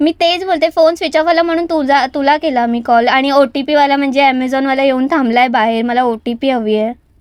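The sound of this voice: Her fairly quick delivery sits at a high pitch, and this woman keeps her intonation fairly even.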